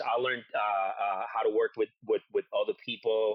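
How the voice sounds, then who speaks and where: This is a man with a Spanish accent. He talks at a fairly quick pace. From Puerto Rico. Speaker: war veteran. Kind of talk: interview. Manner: halting.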